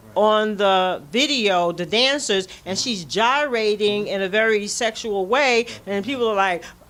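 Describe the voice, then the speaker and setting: A woman at a medium pitch talks at a fairly slow pace with hardly any pauses and ordinary pitch variation, over noticeable background noise. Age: 60s. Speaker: community elder speaker. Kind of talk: casual conversation. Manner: halting with repetitions.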